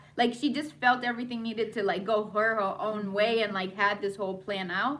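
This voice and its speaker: Here a woman talks at a fairly quick pace in a fairly high pitch. Her pitch varies in an ordinary way. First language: not English. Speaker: video recap host. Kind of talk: casual chat. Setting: live stream.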